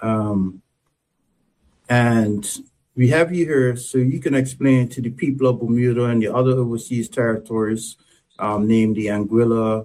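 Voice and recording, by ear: A man's medium-pitched voice with a dark, mellow tone, fairly even intonation and a moderate pace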